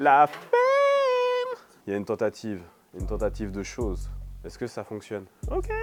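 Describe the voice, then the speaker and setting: A man talks at a fairly slow pace with big swings in loudness. Music plays in the background. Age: 30s. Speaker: TV journalist and basketball commentator, co-runner of a hip-hop media channel. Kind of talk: casual to-camera presentation. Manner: hesitant, many fillers.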